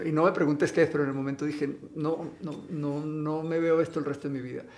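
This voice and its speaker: A fairly high-pitched man with monotone, flat intonation and audible room echo. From Venezuela. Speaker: actor and model. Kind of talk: casual interview.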